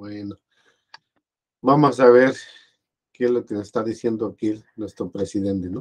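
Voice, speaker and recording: A man's fairly low voice at a fairly slow pace, with fairly even intonation, long and frequent pauses, big swings in loudness, and a quiet background. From Mexico. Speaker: video blogger commenting on politics. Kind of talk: casual spoken commentary. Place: home room. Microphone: webcam.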